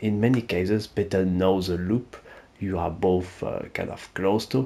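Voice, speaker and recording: In a French accent, a man with a very deep, low pitch and a dark, mellow tone talks at a moderate pace with fairly even intonation. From France. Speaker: gaming YouTuber. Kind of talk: gaming tutorial. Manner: casual, hesitant with fillers.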